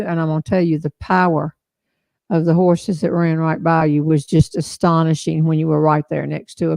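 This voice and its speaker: A woman speaks with a Southern US accent at a moderate pace. Her sound is dry and close with no echo, over a quiet background. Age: 70s. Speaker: humorist and live show host. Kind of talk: casual chat. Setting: live stream from back porch.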